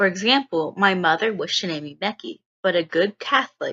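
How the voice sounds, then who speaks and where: A woman speaks with a Texan accent at medium pitch. Her pace is moderate. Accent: Texas accent, becoming more pronounced. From East Texas. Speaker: student. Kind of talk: scripted narration.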